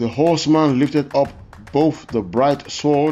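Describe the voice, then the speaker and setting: A man speaks slowly, fairly so, with a Nigerian accent and noticeable background noise. His fairly high pitch has ordinary variation. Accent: Yoruba-accented English. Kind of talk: scripture reading.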